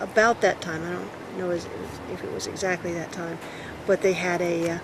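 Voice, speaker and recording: Over noticeable background noise, a woman speaks fairly quickly in a fairly low pitch with monotone, flat intonation. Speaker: longtime resident interviewed for oral history. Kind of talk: oral history interview.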